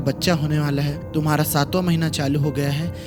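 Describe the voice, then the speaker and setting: A man's voice with music in the background. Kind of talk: horror story narration. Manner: casual, conversational storytelling.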